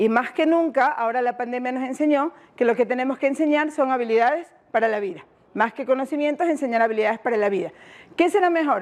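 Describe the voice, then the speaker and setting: A woman speaks with a coastal Ecuadorian accent at a very fast pace. Her pitch is high, with ordinary variation. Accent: Ecuadorian coastal Spanish (Guayaquil). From Ecuador, Guayaquil. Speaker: education workshop facilitator. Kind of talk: workshop presentation. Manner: interactive, questioning audience.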